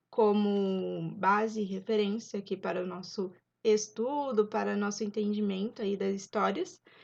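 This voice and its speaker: A woman speaks fairly slowly, her pitch medium. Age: 20s. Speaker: YouTuber, Bible storyteller. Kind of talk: casual Bible study retelling. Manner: informal, with hesitations.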